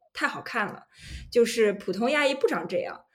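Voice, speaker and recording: A woman talks in an unremarkable speaking voice at a fairly high pitch. Her intonation is lively. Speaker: podcast co-host, data journalist. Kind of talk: casual chat.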